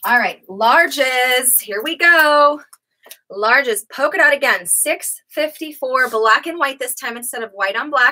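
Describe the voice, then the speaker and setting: In a quiet background, a woman with a high pitch and bright, sharp tone uses a raised, projected voice, with big swings in loudness, ordinary pitch variation and a fairly slow pace. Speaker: online clothing seller. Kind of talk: live sales pitch. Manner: animated. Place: shop. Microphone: webcam.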